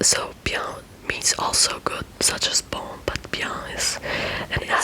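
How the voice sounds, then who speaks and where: Someone whispers over noticeable background noise. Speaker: ASMR creator. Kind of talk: ASMR language lesson. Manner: whispered, soft-spoken.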